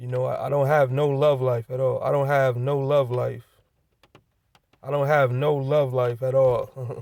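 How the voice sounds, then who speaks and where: A man's medium-pitched voice in monotone, flat intonation at a fairly slow pace. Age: 30s. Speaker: vlogger. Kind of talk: personal vlog monologue. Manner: repetitive, halting with fillers.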